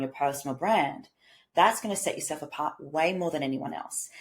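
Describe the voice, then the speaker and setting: A woman speaks with ordinary pitch variation. The recording is very clean, with a silent background. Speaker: business coach and podcast host. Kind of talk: solo podcast monologue. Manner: animated.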